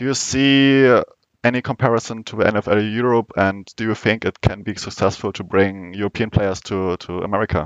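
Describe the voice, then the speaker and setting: In a German accent, a man with fairly low pitch and ordinary pitch variation speaks at a moderate pace, the sound dry and close with no echo over a quiet background. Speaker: podcast host. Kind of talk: interview. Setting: live event watch party.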